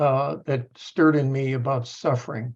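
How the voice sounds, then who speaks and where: This man has a fairly high pitch and a somewhat breathy voice. He talks at a moderate pace against a quiet background. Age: 70s. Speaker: professor. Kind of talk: panel discussion. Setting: video call. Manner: halting.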